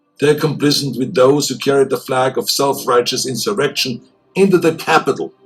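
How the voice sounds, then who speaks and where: Someone speaks in an Austrian accent with music in the background. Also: man. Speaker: public figure. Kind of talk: public address speech.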